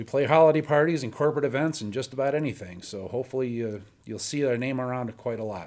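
Very fast delivery from a man, with ordinary pitch variation. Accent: Chicago. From northern Illinois (Antioch). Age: 40s. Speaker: blues guitarist and bandleader. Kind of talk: interview conversation. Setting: radio studio.

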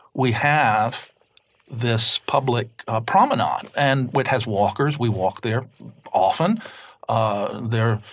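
Recorded very cleanly against a silent background, a man with an Alabama accent speaks at a medium pitch. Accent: Southern US (Alabama). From US South, Mobile, Alabama. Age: 60s. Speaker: novelist. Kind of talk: interview. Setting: studio.

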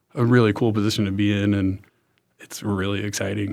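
Heard in a very clean recording with a silent background, a man with a normal speaking voice talks fairly quickly at a fairly low pitch with ordinary pitch variation. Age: 20s. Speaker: MBA student and medical entrepreneur with cancer. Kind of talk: interview. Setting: studio.

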